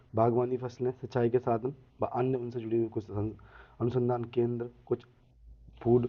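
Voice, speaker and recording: The man speaks at a medium pitch. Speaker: exam-prep teacher. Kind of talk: lecture. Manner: slow.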